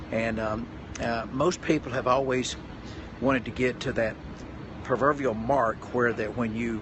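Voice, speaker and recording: A man with a Tennessee accent, medium pitch, moderate pace, and noticeable background noise. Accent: Southern US (Tennessee). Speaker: pastor and motivational speaker. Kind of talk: live stream talk. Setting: hotel room, live stream. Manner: halting, many fillers.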